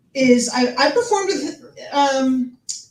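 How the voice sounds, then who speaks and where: A high-pitched woman with lively intonation at a very slow pace, amid audible room echo. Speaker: show host. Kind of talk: host introduction. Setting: live stage with audience. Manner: whispering.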